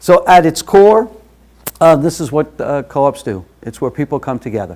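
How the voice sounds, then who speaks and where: A man with a New York accent talks at a fairly quick pace with ordinary pitch variation. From New York City, Brooklyn. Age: 50s. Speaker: workshop facilitator. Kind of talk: workshop presentation. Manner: frequent filler uh.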